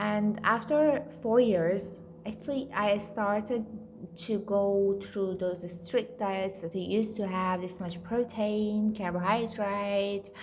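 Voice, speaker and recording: Over noticeable background noise and audible room echo, a woman speaks at a medium pitch and a very slow pace. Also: fairly even intonation. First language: Farsi. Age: 30s. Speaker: vlogger sharing weight loss journey. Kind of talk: casual vlog monologue.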